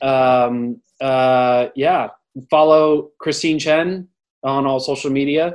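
At a very slow pace, a man speaks in a fairly high pitch. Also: fairly even intonation. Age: 20s. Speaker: podcast host. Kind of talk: casual chat. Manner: halting.

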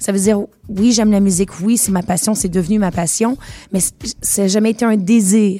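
A woman with a Quebec accent speaks at a moderate pace in a somewhat breathy, dark, mellow tone, her loudness very even and her intonation fairly even, with long, frequent pauses. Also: medium pitch for a woman. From Quebec, Montreal. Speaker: singer and musical theatre performer. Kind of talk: radio interview.

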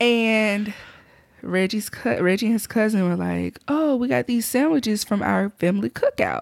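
A woman speaks with a Southern US accent at a moderate pace. Her loudness stays very even throughout. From southwest Alabama. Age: 30s. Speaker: podcast co-host. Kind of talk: casual chat. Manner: laughs often.

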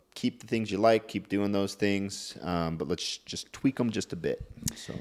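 A man with a plain, everyday voice, fairly low in pitch and fairly slow in pace. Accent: American. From Montana. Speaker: bodybuilder and fitness coach. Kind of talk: casual chat.

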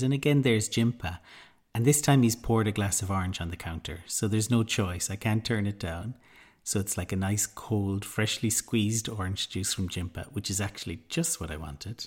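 This man has a fairly low, somewhat breathy voice with ordinary pitch variation and a fairly quick pace. The recording is very clean, with a silent background. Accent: Irish. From Ireland. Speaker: podcast host, mindfulness teacher. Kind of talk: casual storytelling; guided meditation.

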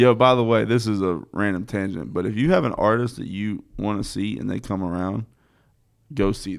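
A man with a plain, everyday voice and an American accent, fairly low in pitch with ordinary pitch variation, at a moderate pace over a quiet background. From North Carolina (Statesville). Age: 30s. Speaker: podcast host, DJ. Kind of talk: casual chat. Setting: studio.

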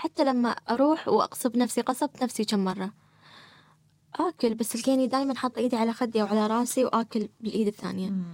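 A woman with a Gulf accent, fairly high in pitch, at a fairly quick pace with ordinary pitch variation, in a dry, close sound with no echo. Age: 30s. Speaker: person sharing experience of social anxiety. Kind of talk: personal testimony in interview. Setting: studio.

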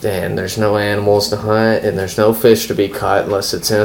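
Delivered at a moderate pace with an American accent, the speech is monotone and flat, with noticeable background noise behind it. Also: man. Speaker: friend of host. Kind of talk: casual chat.

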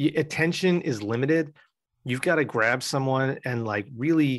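Against a quiet background, a man speaks at a medium pitch and a moderate pace. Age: 40s. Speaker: media content executive. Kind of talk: casual interview chat. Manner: animated.

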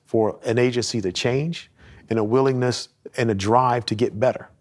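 A man with an American accent speaks at medium pitch. His pace is moderate and his intonation fairly even. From US South. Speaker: police captain and Marine veteran. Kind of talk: interview. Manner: calm.

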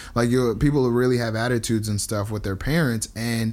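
A man with a New Jersey accent speaks at a moderate pace and medium pitch with ordinary pitch variation, on a very clean recording with a silent background. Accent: New Jersey American English. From US Northeast, New Jersey. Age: 20s. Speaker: podcast guest. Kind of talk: casual chat.

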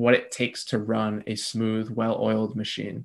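Monotone and flat in intonation, a man with an American accent speaks at a medium pitch. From New Jersey, US. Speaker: business coach. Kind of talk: interview.

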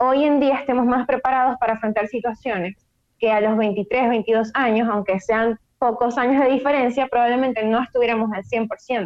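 A woman with a high voice talks at a moderate speed, her pitch varying in an ordinary way. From Venezuela, Maracaibo. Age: 20s. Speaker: prospective emigrant. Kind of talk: casual conversation.

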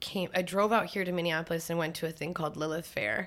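A woman talks in an Upper Midwestern accent. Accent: Upper Midwestern American. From North Dakota. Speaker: singer-songwriter. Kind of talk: casual chat.

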